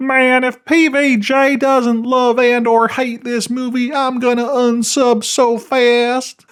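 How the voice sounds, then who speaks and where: A man's whiny, put-on character voice at an extremely high pitch, whiny in tone, with monotone, flat intonation, a fairly slow pace and hardly any pauses. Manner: whiny, silly put-on.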